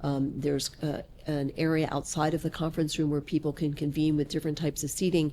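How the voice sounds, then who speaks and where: A woman's voice sits very deep and low, with a dark, mellow tone. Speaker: commercial real estate broker. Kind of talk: interview conversation. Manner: loud.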